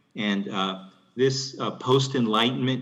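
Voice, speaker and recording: In a room with audible echo, a man speaks at a fairly slow pace with ordinary pitch variation. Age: 70s. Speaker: physician. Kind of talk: conference Q&A. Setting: conference room. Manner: halting.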